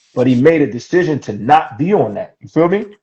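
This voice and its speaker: In a New York accent, a man speaks at a moderate pace with lively intonation. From New York City, Harlem. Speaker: livestream guest. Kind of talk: casual chat. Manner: animated.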